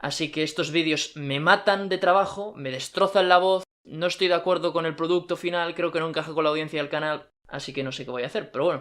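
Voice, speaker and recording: The delivery moves at a fairly quick pace. Intonation stays fairly even. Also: man, high pitch for a man, hardly any pauses. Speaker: video essay creator. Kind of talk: scripted narration.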